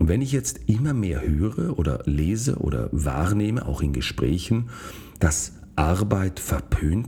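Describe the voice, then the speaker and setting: A man talks in a very deep, low voice with very wide pitch swings. Noticeable background noise runs behind him. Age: 40s. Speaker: podcast host, physician. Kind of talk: solo monologue podcast.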